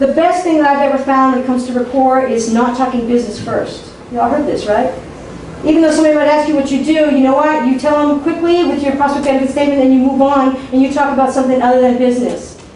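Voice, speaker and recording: Very fast and at a high pitch, a woman talks at very even loudness through noticeable background noise and audible room echo. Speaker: workshop speaker on marketing. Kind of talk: workshop talk. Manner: animated.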